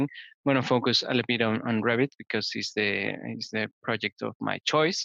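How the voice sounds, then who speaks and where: A man with a medium pitch speaks with vocal fry and fairly even intonation in a bright, sharp tone. The sound is dry and close with no echo, over a quiet background. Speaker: conference presenter on BIM and green building. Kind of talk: webinar tutorial. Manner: halting, many fillers.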